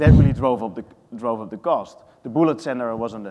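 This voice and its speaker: A man with a Dutch accent speaks very fast, his dark, mellow tone carrying ordinary pitch variation. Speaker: real estate sustainability executive. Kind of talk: panel discussion.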